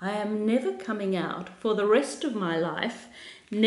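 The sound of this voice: The clip features an unforced reading voice.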